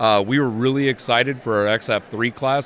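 A man talks at a moderate pace, with ordinary pitch variation. Noticeable background noise runs under his voice. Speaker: seed company agronomist. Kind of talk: interview. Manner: halting, many fillers.

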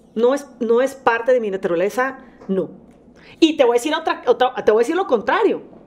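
The delivery has lively intonation and a fairly quick pace. Noticeable background noise runs underneath. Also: woman, high pitch for a woman. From Monterrey, Nuevo León, Mexico. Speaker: singer and former reality show contestant. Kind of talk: casual chat.

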